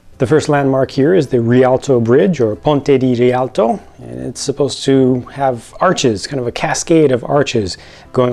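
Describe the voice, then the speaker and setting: At a moderate pace, a man talks with medium pitch and ordinary pitch variation. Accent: American. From United States. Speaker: LEGO set reviewer. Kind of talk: product review. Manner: unscripted, hesitant with fillers and repeats.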